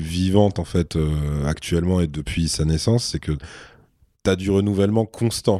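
A man's very deep, low voice with a dark, mellow tone, at a moderate pace. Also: very clean recording, silent background. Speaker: rap journalist. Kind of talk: casual chat. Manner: soft-spoken.

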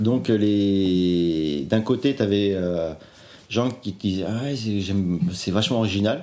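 A man's very slow, fairly low, dark and mellow voice with ordinary pitch variation, in a very clean recording with a silent background. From Normandy, Le Havre. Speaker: bassist. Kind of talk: interview. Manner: halting.

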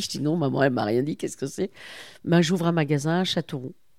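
A woman's very deep, low voice with a dark, mellow tone and ordinary pitch variation, at a very fast pace, in a very clean recording with a silent background and a dry, close sound with no echo. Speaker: company director. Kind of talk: interview conversation.

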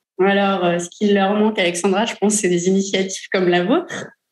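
The speaker is a woman with a medium pitch. She talks at a moderate pace, her intonation fairly even. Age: 30s. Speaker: lawyer. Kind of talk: interview. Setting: in an office. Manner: hesitant, many fillers.

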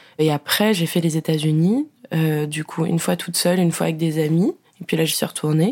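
Pitched fairly low, a woman's voice moves at a fairly quick pace. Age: 20s. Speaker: communications graduate and traveller. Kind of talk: casual chat. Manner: animated.

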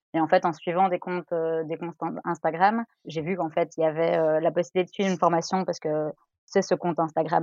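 Her pitch fairly low, a woman speaks at a very fast pace in a monotone, flat intonation. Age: 30s. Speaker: lawyer, listener guest. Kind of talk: casual chat.

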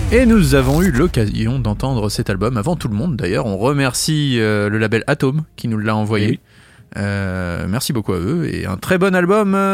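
In a very clean recording with a silent background, a man speaks fairly slowly at medium pitch with very wide pitch swings. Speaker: radio host. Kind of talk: radio show chat.

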